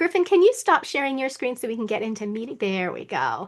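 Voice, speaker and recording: Against a quiet background, a woman talks with very wide swings in pitch. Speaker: webinar presenter on staffing. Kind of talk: online training Q&A.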